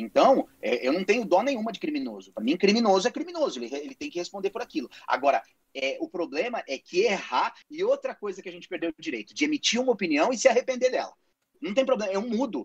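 Very fast and at an extremely high pitch, a man's voice makes very wide pitch swings and big swings in loudness, with a dry, close sound and no echo. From Brazil. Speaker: podcast co-host, father. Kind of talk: casual chat. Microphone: too quiet.

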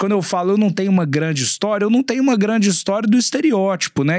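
Lively intonation from a man, with noticeable background noise behind him. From Belo Horizonte, Minas Gerais, Brazil. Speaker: chef. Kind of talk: casual chat.

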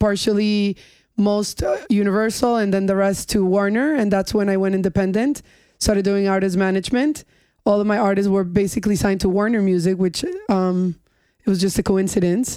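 A woman at a medium pitch has a dark, mellow tone. Her intonation is fairly even and her loudness very even. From New York (Long Island North Shore), Colombian family. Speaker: music industry executive. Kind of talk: casual chat. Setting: studio, on a couch.

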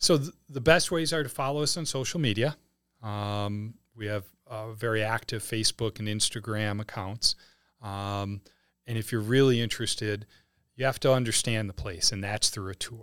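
On a very clean recording with a silent background, a man speaks with a Wisconsin accent. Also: medium pitch for a man, ordinary pitch variation, moderate pace. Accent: Wisconsin accent, noticeable O vowels. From Wisconsin, Milwaukee area. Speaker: head of a private school. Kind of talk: casual interview.

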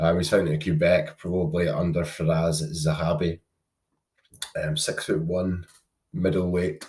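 A man speaks at a fairly slow pace in a British accent. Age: 20s. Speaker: MMA podcast host. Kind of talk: solo sports preview monologue. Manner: casual, frequent 'um' fillers.

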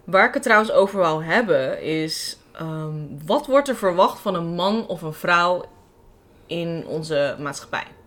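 Very slowly, a woman talks in a fairly low pitch with lively intonation. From Amsterdam Bijlmer, Netherlands. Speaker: podcast host. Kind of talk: casual chat.

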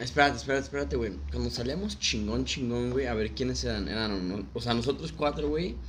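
A man's very deep, low voice with a Mexican accent, fairly quick and hardly pausing, with very wide pitch swings and audible room echo. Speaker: childhood friend of the host. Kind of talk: casual chat.

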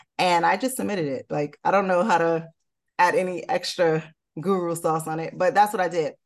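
An ordinary speaking voice with an American accent, a fairly quick pace and ordinary pitch variation. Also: woman, fairly low pitch for a woman. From Newark, New Jersey. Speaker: real estate developer. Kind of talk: interview.

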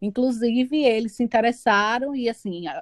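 A plain, everyday voice at a moderate pace in a dry, close sound with no echo. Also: woman. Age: 30s. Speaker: teacher. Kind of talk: casual chat. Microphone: poor audio quality.

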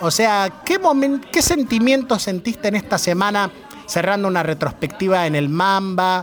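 Lively intonation marks a man's high voice. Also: moderate pace. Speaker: radio host. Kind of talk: interview. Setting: bar.

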